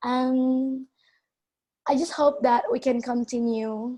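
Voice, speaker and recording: A woman's high pitch paired with a dark, mellow tone. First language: not English. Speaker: youth event participant. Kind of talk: testimony. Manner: halting.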